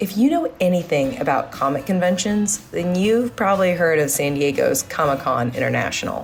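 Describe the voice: In a put-on character voice, a woman speaks at a moderate pace with a medium pitch, hoarse and with lively intonation. Her loudness stays very even, and music is clearly heard in the background.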